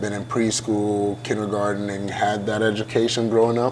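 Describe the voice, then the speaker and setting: Noticeable background noise surrounds a man speaking at a moderate pace in a fairly low pitch with monotone, flat intonation. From Ghana, then Iowa from age eight. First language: Ghanaian language. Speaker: college football player. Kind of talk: interview. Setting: hotel venue.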